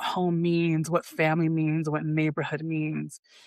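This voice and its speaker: The recording of a woman's fairly low voice is dry and close, with no echo. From Brooklyn, New York. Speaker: designer and founder. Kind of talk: podcast interview.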